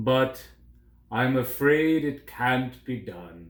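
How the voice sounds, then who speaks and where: Using a put-on character voice, a man speaks very slowly at a medium pitch with ordinary pitch variation. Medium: read story. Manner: regal, declamatory.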